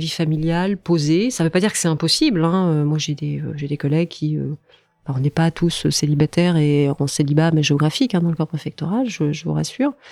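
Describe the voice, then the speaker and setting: Music plays in the background as a woman with a fairly low pitch speaks at a moderate pace with ordinary pitch variation, the sound dry and close with no echo. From France, Brittany. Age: 40s. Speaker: senior civil servant. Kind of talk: interview. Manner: halting, many fillers and repetitions.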